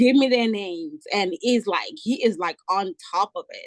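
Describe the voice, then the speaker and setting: With lively intonation and a moderate pace, a woman speaks in a dry, close sound that has no echo. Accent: African. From Africa. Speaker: travel nurse and home care agency owner. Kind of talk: casual chat.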